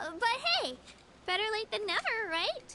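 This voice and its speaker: A put-on, squeaky character voice at an extremely high pitch, fairly slow, over light background noise. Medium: video game. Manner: friendly, earnest.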